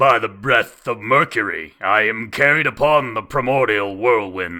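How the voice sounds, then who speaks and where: In a put-on character voice, a man sounds raspy at a medium pitch and a moderate pace, on a very clean recording with a silent background. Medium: read story. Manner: gruff, blunt.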